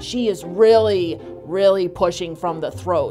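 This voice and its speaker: Over clear music in the background, a woman talks at a very slow pace with lively intonation. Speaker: vocal coach. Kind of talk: interview answer. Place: office.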